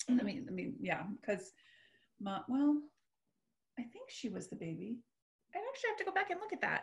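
This woman's voice is somewhat breathy. Behind her the background is quiet. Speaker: metaphysical minister and hypnotist. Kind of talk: casual chat. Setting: video call. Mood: earnest, reflective personal sharing. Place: home room. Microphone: video call.

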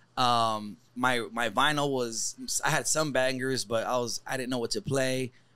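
Bright and sharp in tone, the voice moves at a fairly slow pace with fairly even intonation. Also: man, medium pitch for a man. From Los Angeles, California. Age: 40s. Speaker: DJ and comedian. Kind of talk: casual chat. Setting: studio.

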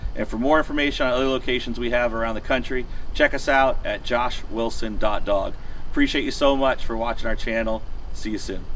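Light background noise behind a man's fairly quick delivery. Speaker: dog trainer business owner. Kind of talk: promotional outro to camera. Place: street.

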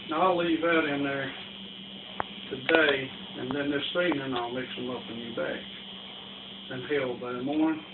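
Loud background noise runs behind a man speaking at a moderate pace. He leaves long, frequent pauses. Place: home room.

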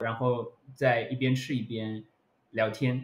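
This man's voice is somewhat breathy. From Shanghai. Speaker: art lecturer. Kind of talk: casual podcast discussion. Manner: hesitant, many fillers.

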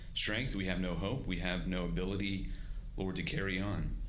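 Fairly slow male speech with a little background noise. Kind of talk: scripture reading and prayer. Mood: solemn, reverent. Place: hall. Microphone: podium.

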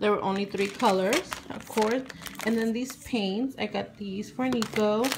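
Loud background noise fills the clip. Through it, a woman speaks with ordinary pitch variation. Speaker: haul vlogger. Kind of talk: casual vlog chat. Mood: cheerful, laughing. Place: home room. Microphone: phone near.

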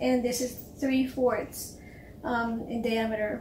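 A woman speaks at a high pitch. The room echo is audible, and there is light background noise. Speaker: cake decorator instructor. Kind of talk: tutorial.

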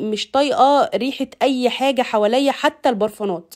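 A woman speaks with an Egyptian accent. Her pitch is high. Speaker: lifestyle vlogger. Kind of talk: casual vlog narration. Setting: home kitchen.

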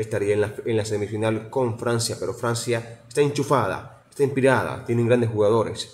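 The voice is somewhat breathy, and its intonation stays fairly even. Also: man. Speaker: radio announcer. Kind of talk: radio sports news report. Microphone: phone near.

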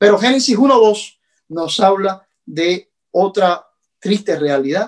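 A man with a Cuban accent speaks very slowly at a high pitch with lively intonation. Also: quiet background. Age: 40s. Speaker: pastor. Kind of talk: sermon. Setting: at home. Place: home room. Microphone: phone near.

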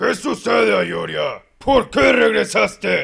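A man speaks at a fairly slow pace in a raspy, put-on character voice. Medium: fan dub. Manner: haughty, mocking.

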